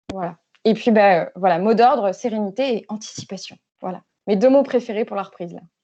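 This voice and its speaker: With a dark, mellow tone and a medium pitch, a woman speaks at a fairly quick pace, her pitch varying in an ordinary way and her loudness swinging widely. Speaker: speaker at an online workshop on digital tools for associations. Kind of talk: online workshop presentation. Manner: fast; hesitant, many fillers.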